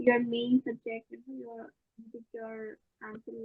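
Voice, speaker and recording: A soft-spoken woman talks in a monotone with flat intonation. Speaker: training participant. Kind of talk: Q&A question. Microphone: too quiet.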